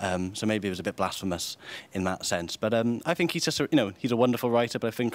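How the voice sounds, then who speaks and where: A man talks at a very fast pace with a Welsh accent. His pitch is fairly low. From Wales. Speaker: writer and editor. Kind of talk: interview.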